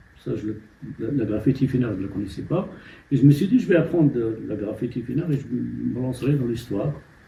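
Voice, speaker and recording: Vocal fry runs through a man's dark, mellow tone. He moves at a fairly quick pace with lively intonation. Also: medium pitch for a man. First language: Amazigh (Berber) (speaking French). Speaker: novelist. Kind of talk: interview. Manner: halting.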